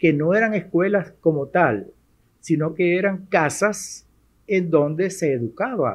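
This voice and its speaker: A man's high-pitched voice shows ordinary pitch variation. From Venezuela, Maracaibo (Zulia). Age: 70s. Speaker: retired university rector and math professor. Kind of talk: interview. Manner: halting, with fillers.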